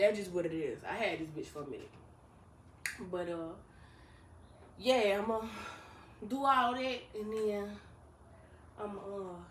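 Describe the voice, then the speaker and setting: Mumbling at a medium pitch, a woman leaves long, frequent pauses, and her loudness swings widely. Audible room echo surrounds her speech, which has ordinary pitch variation. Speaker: vlogger. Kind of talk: casual vlog monologue. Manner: fast.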